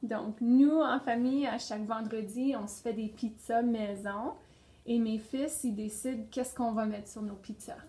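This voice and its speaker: A woman in an unremarkable speaking voice, fairly high in pitch, at a fairly slow pace. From northern Ontario (Sudbury region). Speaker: pedagogical consultant. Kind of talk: interview.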